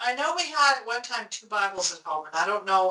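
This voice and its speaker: With lively intonation and a fairly quick pace, a woman talks in an ordinary speaking voice. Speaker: interviewer, daughter of the interviewee. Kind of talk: family interview questions.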